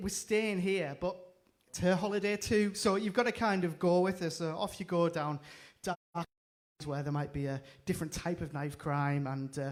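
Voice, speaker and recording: A high-pitched man in a northeast English accent. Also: ordinary pitch variation, moderate pace. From northeast England. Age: 30s. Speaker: comedian. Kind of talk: stand-up. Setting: stage with audience, livestreamed.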